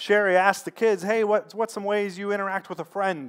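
Moderate pace against a quiet background. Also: man. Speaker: pastor. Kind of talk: sermon with prayer. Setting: church. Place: church.

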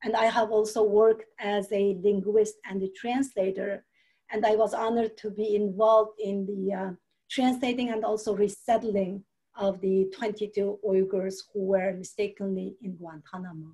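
A woman's medium-pitched voice with a Xinjiang accent, a dark, mellow tone, flat monotone delivery at a moderate pace, and a quiet background. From East Turkestan (Xinjiang, China). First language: Uyghur. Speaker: human rights activist. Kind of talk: webinar panel talk. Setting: video call. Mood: earnest, calm. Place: home room. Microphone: video call.

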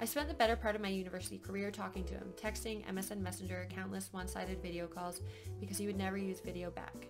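A woman at a very fast pace over clear background music. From Canada. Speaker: vlogger. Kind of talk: casual storytime talk to camera. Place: home room. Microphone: webcam.

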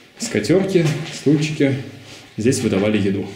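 In a room with audible echo and light background noise, a man talks at a moderate pace with very wide pitch swings. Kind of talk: casual vlog chat. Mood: joking, ironic. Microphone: phone near.

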